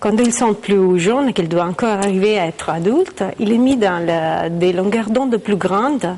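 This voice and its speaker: A woman with an Italian accent speaks at medium pitch and a moderate pace, her loudness very even, her pitch varying in an ordinary way and hardly any pauses, over noticeable background noise. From Italy. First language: Italian (speaking French). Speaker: astrophysicist. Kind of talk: interview, explaining science. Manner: hesitant, many fillers.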